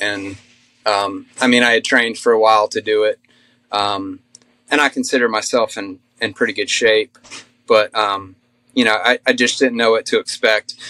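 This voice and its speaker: An American accent carries this man's monotone, flat intonation at a moderate pace, with long, frequent pauses. The sound is dry and close with no echo, and his tone is bright and sharp. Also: medium pitch for a man. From North Carolina. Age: 40s. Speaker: hiker. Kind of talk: casual interview. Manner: halting, many fillers.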